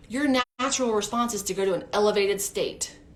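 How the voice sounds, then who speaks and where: This woman's voice sits at a fairly high pitch. Audible room echo surrounds her. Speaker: preschool teacher and teacher coach. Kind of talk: live-streamed talk. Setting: live stream. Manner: animated.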